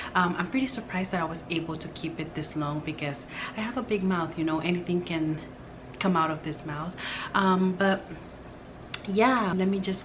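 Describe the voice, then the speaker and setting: A quiet voice with fairly even intonation carries audible room echo. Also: woman. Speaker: beauty and lifestyle vlogger. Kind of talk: casual vlog talk to camera. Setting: at home, partner in bedroom. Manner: hushed, quiet.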